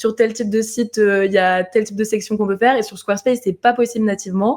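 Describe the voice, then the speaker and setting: Talking at a very fast pace, a woman keeps a fairly high pitch with monotone, flat intonation. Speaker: web designer. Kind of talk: interview.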